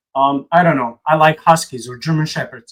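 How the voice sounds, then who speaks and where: A man's high voice moves along at a moderate pace. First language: not English. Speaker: religious commentary video host. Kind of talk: casual reaction commentary. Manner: halting, many repetitions; animated.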